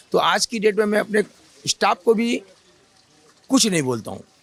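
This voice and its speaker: Noticeable background noise sits behind a man's high-pitched voice, which moves at a moderate pace with a dry, close sound and no echo. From Kolkata, India. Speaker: street food shop owner. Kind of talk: interview.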